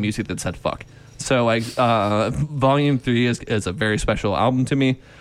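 An unremarkable speaking voice from a man, with ordinary pitch variation and a moderate pace. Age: 30s. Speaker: podcast co-host. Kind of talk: casual chat.

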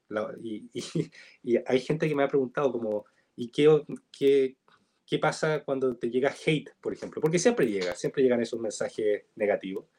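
A man speaks with a Chilean accent in a dark, mellow tone, at a fairly high pitch. His pace is moderate and his pitch varies in an ordinary way. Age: 20s. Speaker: TikTok content creator. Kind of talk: casual interview chat. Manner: halting, repeats words.

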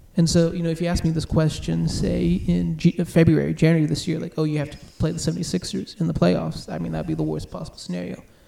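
The man speaks very fast. His volume rises and falls sharply. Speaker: podcast host. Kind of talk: casual chat. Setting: home, recording at kitchen table.

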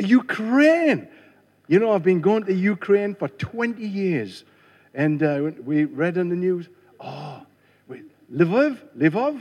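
A man speaks very slowly in a high pitch, with long, frequent pauses. His pitch swings very widely. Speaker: visiting preacher. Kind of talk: sermon. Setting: church.

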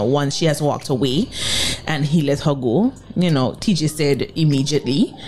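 Speaking at a fairly quick clip, a woman with a very deep, low voice sounds animated over noticeable background noise. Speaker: radio co-host. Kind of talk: casual radio banter. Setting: radio studio. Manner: animated, chatty.

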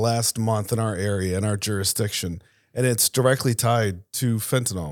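An unremarkable speaking voice from a man with an American accent, medium in pitch with ordinary pitch variation, in a very clean recording with a silent background. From Tampa, Florida. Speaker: former military investigator and intelligence specialist. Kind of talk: panel discussion. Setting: studio.

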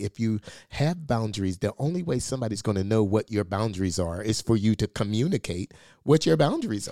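A man's plain, everyday voice, fairly low in pitch, with lively intonation at a fairly quick pace, in a dry, close sound with no echo and a very clean recording over a silent background. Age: 50s. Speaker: podcast co-host, pastor. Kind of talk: casual chat. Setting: studio.

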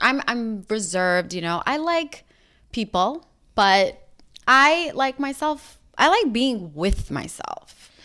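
Speaking very slowly with an American accent, a woman uses a high pitch and a bright, sharp tone. Her pitch swings very wide, and the recording is very clean with a silent background. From New York. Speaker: podcast co-host. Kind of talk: casual chat.

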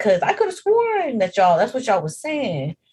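A woman speaks with very wide pitch swings, somewhat breathy. She keeps a fairly quick pace. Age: 20s. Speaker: podcast co-host. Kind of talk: casual chat.

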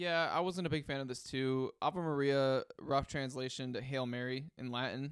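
Recorded very cleanly against a silent background, a man uses an ordinary speaking voice at a fairly high pitch and a moderate pace. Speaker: music podcast co-host. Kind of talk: casual album review chat.

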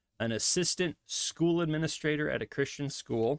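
A man with a fairly high pitch and a Midwestern accent, at a moderate pace with ordinary pitch variation, in a dry, close sound with no echo. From US Midwest. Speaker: pastor and podcast host. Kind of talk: solo podcast monologue. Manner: casual, with frequent fillers.

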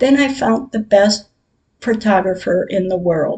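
A somewhat breathy woman's voice, fairly high in pitch with ordinary variation, dark and mellow in tone, at a fairly slow pace. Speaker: podcaster sharing personal grief diary. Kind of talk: personal diary reading.

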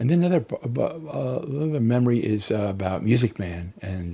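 A man speaks with an American accent at a moderate pace, his tone dark and mellow. His voice is somewhat breathy, with lively intonation. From New Jersey, US. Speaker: interviewee sharing memories. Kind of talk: testimony.

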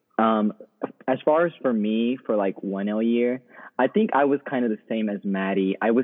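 In an American accent, a man talks at a moderate pace with fairly low pitch. He has an unremarkable speaking voice and fairly even intonation. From Texas. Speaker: law student. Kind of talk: casual chat.

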